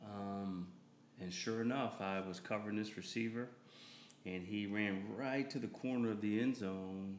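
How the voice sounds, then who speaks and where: A man with an American accent speaks at a fairly low pitch and a moderate pace. His intonation is fairly even, and room echo can be heard. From Delaware and California. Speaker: minister. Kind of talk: casual interview chat.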